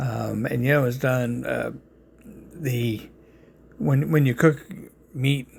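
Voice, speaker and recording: With a New York accent, a man talks using ordinary pitch variation. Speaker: home cook presenting barbecue. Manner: casual, halting, many fillers.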